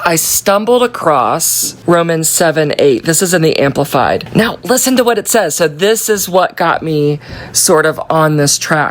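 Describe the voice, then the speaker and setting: Noticeable background noise sits behind a woman with a fairly low pitch. She speaks fairly slowly in an animated tone. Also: lively intonation. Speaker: Bible study leader. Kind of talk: Bible study talk.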